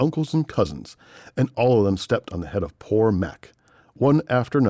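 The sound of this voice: Lively intonation in an unforced reading voice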